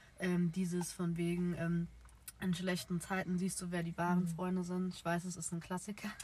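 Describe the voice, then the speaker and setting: Her intonation monotone and flat, a woman speaks in a fairly low pitch. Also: moderate pace. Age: 20s. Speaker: podcast co-host, nursery educator. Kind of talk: casual chat. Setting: in a car.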